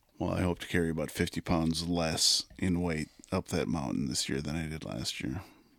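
A man speaks in a very deep, low voice with vocal fry. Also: ordinary pitch variation, moderate pace. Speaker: podcast host, hunter. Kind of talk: casual banter.

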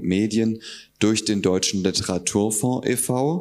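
A plain, everyday voice from a man, fairly low in pitch. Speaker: festival host. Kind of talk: event introduction. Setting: stage with audience.

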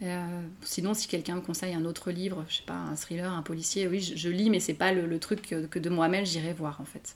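Speaking at a fairly quick pace with hardly any pauses, a woman holds a monotone, flat intonation at a fairly low pitch. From France. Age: 30s. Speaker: novelist. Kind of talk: interview. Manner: halting, many hesitations.

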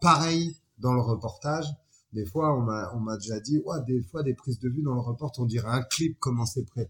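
Somewhat breathy, a man speaks with a slight West African accent and ordinary pitch variation. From France, Chalon-sur-Saône. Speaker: photographer and filmmaker. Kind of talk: casual interview.

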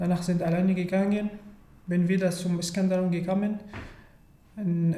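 A man with an Arabic accent, high pitch, dark, mellow tone, flat monotone intonation and moderate pace, in audible room echo. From Syria. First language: Arabic (speaking German). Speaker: refugee. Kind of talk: interview. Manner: halting.

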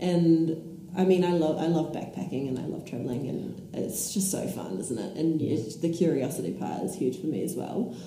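In a room with audible echo and noticeable background noise, a woman with a New Zealand accent speaks at a moderate pace in a fairly low voice with lively intonation. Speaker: traveler. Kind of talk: casual interview.

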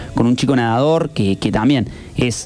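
Speaking at a fairly quick pace, a man with a medium-pitched voice uses ordinary pitch variation against noticeable background noise. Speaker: radio co-host. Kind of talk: interview.

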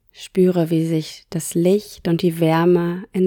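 Very slowly, a woman speaks in a calm, gentle tone with a fairly low, flat monotone. The recording is very clean and dry, close with no echo, over a silent background. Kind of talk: guided meditation. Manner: slow, soft-spoken, soothing; calm, gentle, unhurried with long pauses.

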